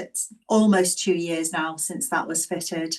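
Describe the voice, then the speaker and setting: A woman speaks with a slight Scouse accent. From northern England, Liverpool. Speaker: physiotherapist and caregiver. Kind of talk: talk to an online audience. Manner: deliberately slowed down.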